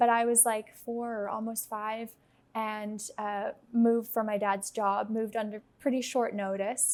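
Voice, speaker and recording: With an American accent, a woman speaks in a fairly high pitch at a fairly slow pace with monotone, flat intonation. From United States (Dutch-born). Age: 20s. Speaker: startup founder, guest. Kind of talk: casual interview chat.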